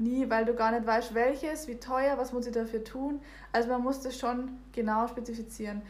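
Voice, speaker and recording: A woman's high-pitched voice at a moderate pace, monotone and flat, with audible room echo. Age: 20s. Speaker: podcast guest. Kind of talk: casual chat.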